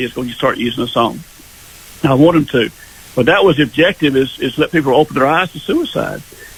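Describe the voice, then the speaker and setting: With noticeable noise behind him, a man talks using ordinary pitch variation. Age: 70s. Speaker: singer-songwriter. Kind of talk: radio interview. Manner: halting.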